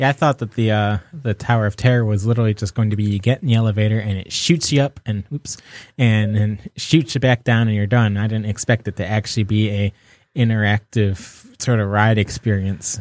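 An ordinary speaking voice from a man with fairly low pitch and fairly even intonation, moving at a fairly quick pace. The sound is dry and close with no echo, in a very clean recording over a silent background. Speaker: podcast host. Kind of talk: casual chat. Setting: studio.

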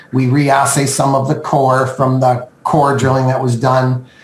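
Speaking at a moderate pace with a Western Canadian accent, a man is heard through noticeable background noise and audible room echo. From Canada (Okanagan, British Columbia). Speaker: mining company chairman. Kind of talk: business interview.

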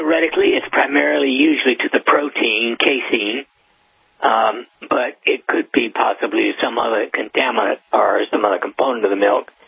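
A man talks at a moderate pace with music playing behind him. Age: 80s+. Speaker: neurosurgeon. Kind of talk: casual chat.

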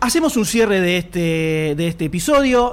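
A man talks with a Rioplatense accent and very wide pitch swings. Noticeable background noise sits behind him. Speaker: podcast host. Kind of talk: live podcast panel chat before audience. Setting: stage with live audience.

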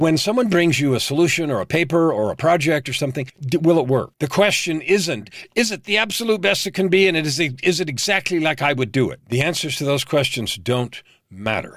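An ordinary speaking voice: a man with an American accent, fairly high in pitch, talking at a fairly quick pace with lively intonation. The recording is very clean with a silent background. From US, San Francisco Bay Area. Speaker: leadership coach. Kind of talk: interview.

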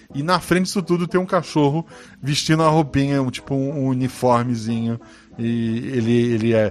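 A man speaks in a normal speaking voice at a medium pitch, with ordinary pitch variation and a moderate pace. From Florianópolis, southern Brazil. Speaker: podcast host and RPG narrator. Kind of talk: casual chat.

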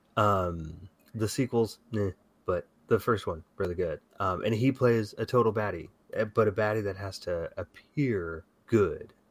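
The recording is very clean, with a silent background. A man with an ordinary speaking voice talks at a fairly low pitch and fairly slow pace, with ordinary pitch variation. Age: 40s. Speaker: podcast co-host. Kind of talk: casual chat.

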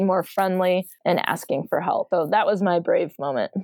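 A woman with an American accent speaks at a moderate pace in an unremarkable speaking voice, her pitch medium with ordinary variation. The sound is dry and close, with no echo. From Michigan. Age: 40s. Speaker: college professor and podcaster. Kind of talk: casual chat.

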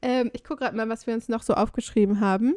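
A woman with an ordinary speaking voice and fairly high pitch uses ordinary pitch variation, her sound dry and close with no echo on a very clean recording with a silent background. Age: 20s. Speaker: travel podcaster. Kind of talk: casual chat.

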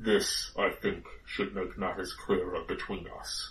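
Fairly slow delivery in a put-on character voice from a man. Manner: cold, passive.

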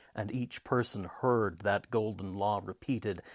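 A man talks in an ordinary speaking voice at a moderate pace, fairly low in pitch with fairly even intonation. The recording is very clean, with a silent background. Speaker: preacher and storyteller. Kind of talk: mythic story narration, allegorical folk tale told to a congregation. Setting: church. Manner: solemn, hushed and measured, with a storyteller's cadence.

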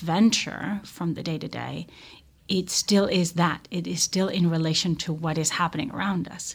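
In a very clean recording with a silent background, a woman speaks at a fairly low pitch with a somewhat breathy voice and ordinary pitch variation. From Israel, Tel Aviv. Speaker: opera director. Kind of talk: interview conversation.

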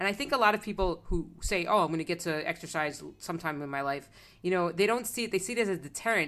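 Talking very fast with lively intonation, a woman with an American accent uses a fairly low pitch on a very clean recording with a silent background. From South Florida. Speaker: podcast host. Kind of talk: interview.

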